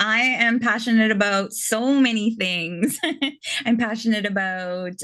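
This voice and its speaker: With a Canadian accent, a woman speaks in a normal speaking voice at a fairly slow pace and fairly even intonation against a quiet background. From Canada. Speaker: interviewer. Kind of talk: interview.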